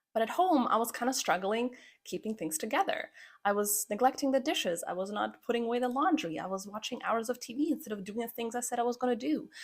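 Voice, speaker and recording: A woman's high voice at a very fast pace, with lively intonation and a slight Croatian accent. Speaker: podcast host, pharmacist and habit coach. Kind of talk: personal story podcast monologue. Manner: casual, conversational.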